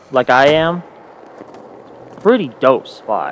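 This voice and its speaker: A man with a fairly high pitch talks quietly against noticeable background noise. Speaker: gaming youtuber. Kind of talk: gameplay commentary. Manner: monotone.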